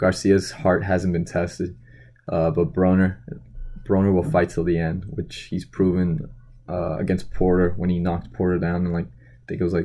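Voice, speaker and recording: At a moderate pace, a man with a very deep, low pitch and a dark, mellow tone keeps his intonation fairly even. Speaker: boxing commentary vlogger. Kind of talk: casual vlog commentary. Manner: monotone; hesitant, many fillers.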